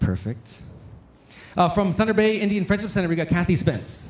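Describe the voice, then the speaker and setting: A man's voice with vocal fry over light background noise. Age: 40s. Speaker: conference emcee and storyteller. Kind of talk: emcee announcements and closing remarks. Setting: stage with audience. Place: hall. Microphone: handheld.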